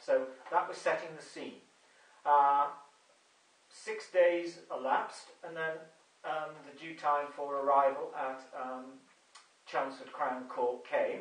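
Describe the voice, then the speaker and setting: A man with an English accent talks at a very slow pace and a fairly high pitch, with ordinary pitch variation and big swings in loudness. Long, frequent pauses break his speech amid audible room echo. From England. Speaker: video blogger. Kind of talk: monologue video update. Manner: hesitant, many fillers. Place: home room. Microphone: camera far.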